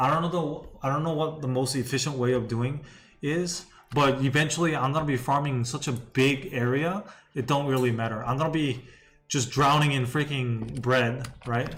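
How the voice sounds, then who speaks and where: A somewhat breathy man at medium pitch, moderate pace and fairly even intonation, with audible room echo. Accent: non-native. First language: not English. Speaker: gaming streamer. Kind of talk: live gameplay commentary. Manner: casual, repetitive.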